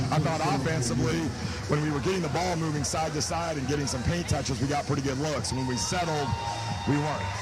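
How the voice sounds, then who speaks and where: A man with a fairly high pitch talks at a very fast pace with ordinary pitch variation over noticeable background noise. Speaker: basketball coach. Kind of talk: halftime coach interview answer.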